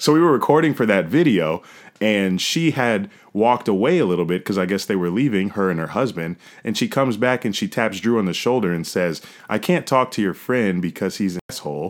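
A man with an American accent speaks at a fairly quick pace in a normal speaking voice, his fairly low pitch carried by lively intonation on a very clean recording with a silent background. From New York. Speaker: football podcast co-host. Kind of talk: casual chat.

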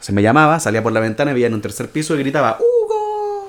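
A man's fairly high voice moves at a fairly quick pace while noticeable background noise carries on behind him. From Chile, Antofagasta. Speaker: writer and podcast co-host. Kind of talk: casual chat.

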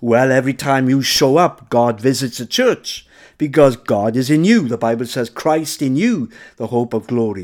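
With ordinary pitch variation, a man talks in an unremarkable speaking voice. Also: medium pitch for a man, moderate pace. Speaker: preacher. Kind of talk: fiery Pentecostal sermon with call-and-response exhortation. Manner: urgent, fervent, rising to a rousing closing blessing.

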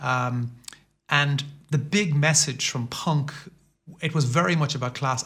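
With a Limerick accent, a man speaks in a bright, sharp tone and fairly even intonation. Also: very clean recording, silent background. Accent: Limerick Irish. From Ireland, Limerick city. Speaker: professor. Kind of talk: casual interview. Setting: studio.

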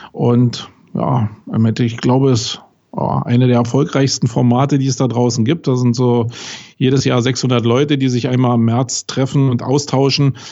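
A man at a medium pitch and moderate pace, with monotone, flat intonation. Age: 40s. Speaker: SEO agency owner. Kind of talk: interview. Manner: hesitant fillers.

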